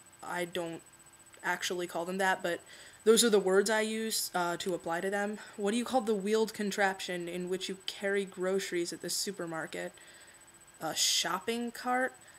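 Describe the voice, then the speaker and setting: A woman's ordinary speaking voice, medium in pitch, at a moderate pace with fairly even intonation. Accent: American. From Philadelphia, born in California. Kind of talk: casual talk to camera.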